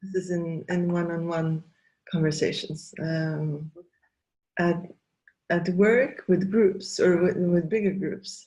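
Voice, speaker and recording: Very slowly and with long, frequent pauses, a woman speaks in a dark, mellow, somewhat breathy tone at a fairly low pitch with fairly even intonation. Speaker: facilitator and trainer. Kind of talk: interview conversation. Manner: halting, many fillers.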